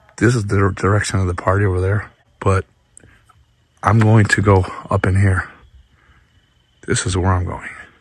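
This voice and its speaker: Somewhat breathy and fairly low-pitched, a man speaks in a monotone, flat intonation with long, frequent pauses. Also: moderate pace. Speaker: paranormal YouTuber. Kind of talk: vlog narration outdoors. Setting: outdoors in woods at night. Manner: hushed, quiet.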